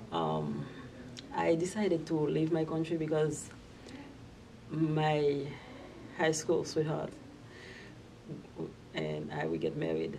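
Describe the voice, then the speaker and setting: A woman with a Haitian accent talks at a very slow pace. Her speech has long, frequent pauses. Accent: Haitian Creole-accented English. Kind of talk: personal immigration story told to camera.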